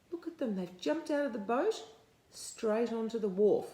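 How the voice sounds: A woman with a dark, mellow tone and fairly high pitch speaks at a moderate pace with lively intonation, and room echo is audible.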